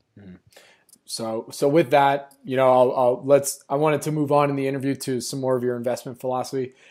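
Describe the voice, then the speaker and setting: With a normal speaking voice, a man talks at a fairly quick pace and medium pitch, his intonation fairly even but with big swings in loudness. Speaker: podcast host. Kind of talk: interview, intro and outro reads.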